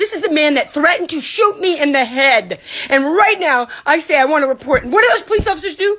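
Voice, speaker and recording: Loud and at a fairly quick pace, a woman talks with very wide pitch swings. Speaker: livestreamer and foundation founder. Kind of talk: angry livestream rant. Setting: live video stream. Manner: animated.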